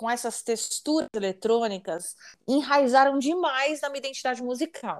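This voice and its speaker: In a very clean recording with a silent background, a woman speaks with a high pitch and lively intonation. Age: 40s. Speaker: singer. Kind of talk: casual chat.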